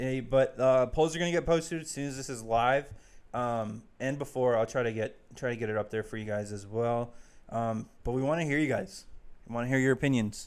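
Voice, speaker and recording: A man with an American accent and an ordinary speaking voice, medium in pitch, at a fairly quick pace in a very clean recording with a silent background. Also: ordinary pitch variation. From Arizona (Chandler). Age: 20s. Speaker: podcast co-host. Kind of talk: casual chat.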